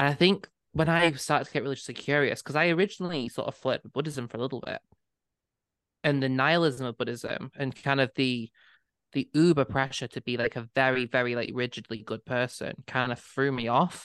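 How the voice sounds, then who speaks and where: Speaking with a northwest English accent, the voice moves at a fairly quick pace. The background is quiet. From northwest England. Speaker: podcast co-host. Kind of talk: casual chat.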